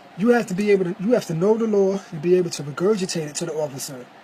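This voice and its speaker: Over noticeable background noise, a man rattles along at a very fast pace with ordinary pitch variation. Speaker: vlogger. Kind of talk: casual monologue. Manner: animated.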